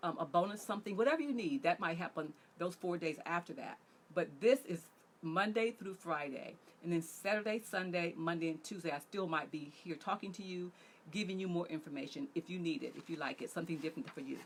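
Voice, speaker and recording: A woman with an ordinary speaking voice and a fairly low pitch talks at a fairly quick pace with lively intonation. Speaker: relationship coach. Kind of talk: online workshop talk.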